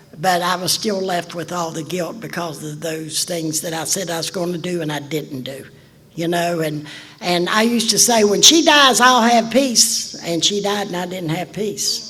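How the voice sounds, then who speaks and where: With an Appalachian accent, a woman speaks at a moderate pace in a fairly low voice with ordinary pitch variation, amid audible room echo and noticeable background noise. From West Virginia. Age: old. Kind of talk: testimony.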